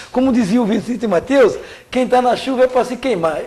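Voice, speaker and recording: Through noticeable background noise, a man talks at a fairly quick pace with an extremely high pitch. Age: 60s. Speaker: trade union leader. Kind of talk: interview.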